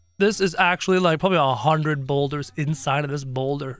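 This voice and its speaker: The speaker's tone is animated. Music plays in the background. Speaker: gaming youtuber. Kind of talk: gameplay commentary.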